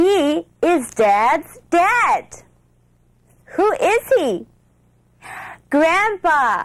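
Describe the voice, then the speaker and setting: Very slowly and with long, frequent pauses, a woman speaks at an extremely high pitch with very wide pitch swings. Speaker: TV show host, English teacher. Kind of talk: children's TV English lesson. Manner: slow, clear.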